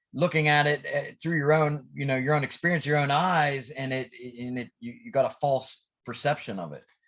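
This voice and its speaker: A man talks at a fairly quick pace in a quiet background. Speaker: motivational podcast host and coach. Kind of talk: casual podcast chat. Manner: hesitant, many fillers and restarts; energetic, pep-talk style.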